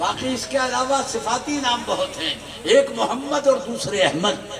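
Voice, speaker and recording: Amid noticeable background noise and audible room echo, a man speaks at an extremely high pitch. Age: 70s. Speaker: Islamic preacher. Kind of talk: religious speech at gathering. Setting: stage with audience. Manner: standing while speaking.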